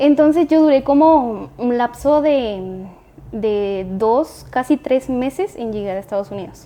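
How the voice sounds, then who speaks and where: A woman with a Guatemalan accent speaks very slowly in a high pitch. Her tone is dark and mellow, and her intonation is lively. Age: 20s. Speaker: entrepreneur. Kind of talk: casual interview.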